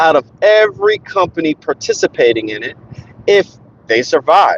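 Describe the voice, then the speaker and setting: Very wide pitch swings at a moderate pace in an American accent, dry and close with no echo. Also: man. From New Jersey, Newark area. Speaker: gaming YouTuber. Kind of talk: casual live stream talk while driving. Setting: in a car. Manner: halting, stuttering.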